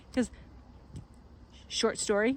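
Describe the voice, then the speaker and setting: A woman with a Quebec accent speaks at a fairly high pitch. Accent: French Canadian accent in English. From Quebec and New Brunswick, Canada. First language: French. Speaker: farm vlogger. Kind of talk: casual vlog talk to camera. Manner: rambling, with many fillers and restarts.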